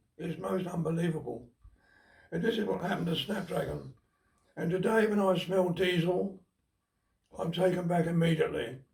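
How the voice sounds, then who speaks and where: Speaking at a moderate pace with a British accent, a man uses a high pitch and fairly even intonation. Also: long, frequent pauses. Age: 90s. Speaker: war veteran. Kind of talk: testimony. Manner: halting.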